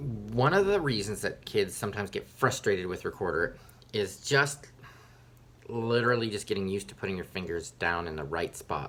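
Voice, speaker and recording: Speaking at a fairly quick pace, a man with a fairly low pitch uses lively intonation and an animated tone. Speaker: elementary music teacher. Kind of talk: tutorial. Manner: fast.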